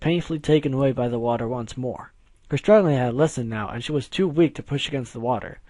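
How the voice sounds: The clip is read in a natural reading voice. Pitch varies in an ordinary way.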